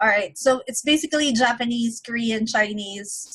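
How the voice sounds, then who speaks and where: In a normal speaking voice, a woman with an American accent talks at a fairly slow pace, her fairly high pitch moving with ordinary variation. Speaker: online interview host. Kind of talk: interview.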